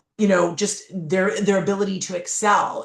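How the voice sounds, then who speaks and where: An ordinary speaking voice proceeds at a moderate pace. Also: woman. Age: 50s. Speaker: keynote speaker and author. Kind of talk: podcast interview.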